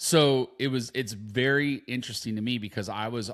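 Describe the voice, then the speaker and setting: A man talks at a moderate pace with ordinary pitch variation, recorded very cleanly against a silent background. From Southern California, San Diego. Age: 50s. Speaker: podcast co-host. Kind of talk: casual chat.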